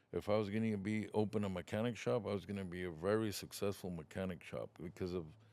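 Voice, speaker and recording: This man has an unremarkable speaking voice, fairly low in pitch with ordinary pitch variation, at a fairly quick pace. The recording is very clean, with a silent background. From Othello, Washington, US (born in Mexico). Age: 60s. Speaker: trucking business owner. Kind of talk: interview.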